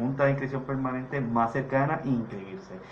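There is audible room echo and noticeable background noise as a man speaks at a medium pitch. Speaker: political candidate. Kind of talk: radio panel discussion.

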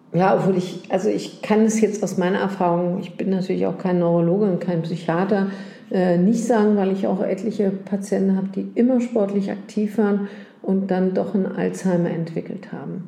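A woman speaks at a medium pitch and a moderate pace with fairly even intonation. The room echo is audible, and background noise is noticeable. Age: 60s. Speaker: gynecologist. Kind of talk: casual chat. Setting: doctor's office.

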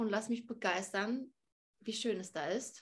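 Her pitch variation stays ordinary. This woman talks at a medium pitch. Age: 30s. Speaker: fitness and nutrition influencer. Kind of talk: interview.

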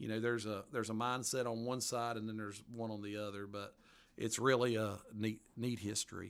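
With a strong Appalachian accent, a man speaks fairly quickly at medium pitch in a monotone, flat intonation. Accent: strong Southern Appalachian. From western North Carolina mountains. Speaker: author. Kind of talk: casual interview. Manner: hesitant, folksy, many fillers.

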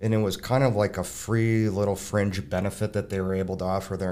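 Moving at a fairly quick pace, an unremarkable speaking voice with an American accent holds fairly even intonation. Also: man. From Minnesota (Burnsville). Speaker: mortgage consultant. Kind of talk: casual interview.

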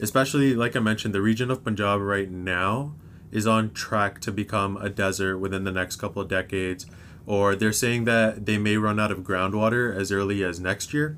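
A man with a Canadian accent has an ordinary speaking voice, fairly low and fairly even in intonation. He talks at a fairly quick pace in a very clean recording with a silent background. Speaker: university student. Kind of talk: casual chat.

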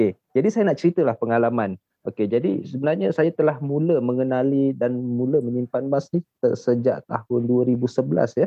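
A man with an unremarkable speaking voice, a moderate pace and ordinary pitch variation. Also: medium pitch for a man. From Malaysia, Shah Alam, Selangor. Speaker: gold saver. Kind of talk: casual chat.

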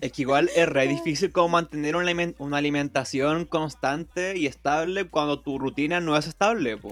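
With a Chilean accent, a man talks at a fairly high pitch and moderate pace, with ordinary pitch variation and hardly any pauses. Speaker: podcast host. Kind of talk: casual chat.

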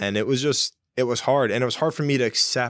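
This man talks at a fairly quick pace in a plain, everyday voice of medium pitch with ordinary pitch variation. The sound is dry and close, with no echo. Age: 20s. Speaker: podcast co-host. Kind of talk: casual chat. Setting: studio.

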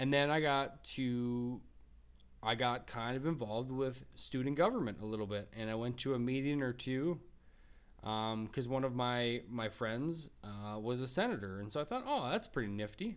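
At a moderate pace, a man with an American accent speaks at a medium pitch. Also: ordinary pitch variation. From Minnesota. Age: 30s. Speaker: podcast host, college student. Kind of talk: solo podcast monologue. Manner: halting, many fillers.

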